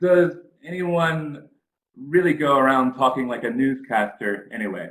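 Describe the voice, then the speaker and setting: A man with a Virginia accent speaks at a fairly slow pace in a bright, sharp tone. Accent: American, Virginia. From US East Coast, Richmond, Virginia. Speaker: English teacher. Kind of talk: conference presentation. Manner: hesitant, many fillers.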